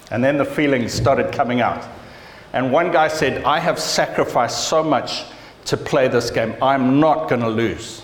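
A man with a medium pitch keeps a moderate pace and ordinary pitch variation while noticeable background noise carries on. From Zimbabwe. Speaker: pastor. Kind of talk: sermon. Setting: church. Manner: animated.

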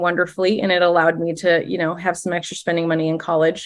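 A woman is speaking. She has an Upper Midwest accent. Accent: Upper Midwest American. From Minnesota, small lake town. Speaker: former teacher turned direct-sales leader. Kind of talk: casual interview.

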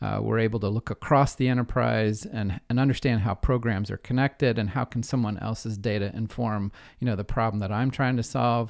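An unremarkable speaking voice from a man with an American accent, medium in pitch, fairly quick and almost pauseless, with fairly even intonation and a dry, close sound free of echo. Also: very clean recording, silent background. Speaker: data analytics consultant. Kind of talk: interview.

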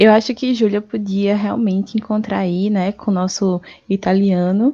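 In a quiet background, a woman speaks at a medium pitch with a dark, mellow tone and a dry, close sound with no echo. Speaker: comedy podcast co-host. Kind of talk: comedic casual chat. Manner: stuttering at times today.

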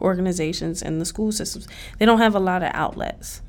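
In a normal speaking voice, a woman with an American accent talks at a medium pitch with fairly even intonation. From Southwest Philadelphia. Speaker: community organizer. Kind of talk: casual chat. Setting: university recreation center.

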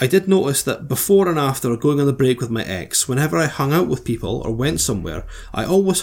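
At a fairly quick pace, a man with an ordinary speaking voice talks at a medium pitch with lively intonation. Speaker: podcast host reading listener problems. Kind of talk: casual comedic banter. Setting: recorded microphone podcast.

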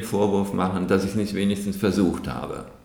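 Recorded with noticeable background noise and audible room echo, a man speaks at a fairly low pitch. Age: 70s. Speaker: running group founder. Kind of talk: podcast interview. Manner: halting, many fillers.

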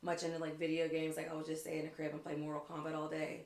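This is a woman speaking in an American accent. Her pitch is very deep and low. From Western Pennsylvania (Pittsburgh area). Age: 30s. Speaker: cheerleading coach. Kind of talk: casual chat.

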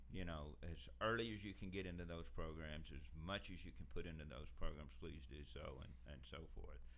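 Lively intonation colors a man's very deep, low voice, which carries vocal fry at a moderate pace. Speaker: industry worker about to retire. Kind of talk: casual interview chat.

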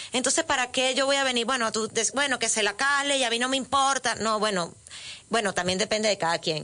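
Bright, sharp tone from a woman, pitch variation ordinary. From Venezuela. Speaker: author and former radio presenter. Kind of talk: interview. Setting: radio studio. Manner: talkative, halting with repetitions.

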